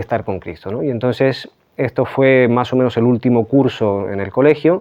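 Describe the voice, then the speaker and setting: A man talks at a fairly quick clip. His pitch sits in the medium range. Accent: slight Chilean. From Chile. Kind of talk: interview testimony. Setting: remote interview from Pamplona. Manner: hesitant, many fillers.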